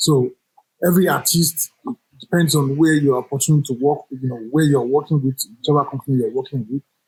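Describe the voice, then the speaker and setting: This man's voice is somewhat breathy and fairly high-pitched. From Nigeria. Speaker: jazz saxophonist. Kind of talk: interview.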